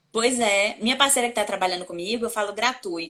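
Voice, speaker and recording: Dry and close with no echo, a woman's voice sits at medium pitch with a bright, sharp tone. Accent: Bahian. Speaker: communication coach and journalist. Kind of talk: interview.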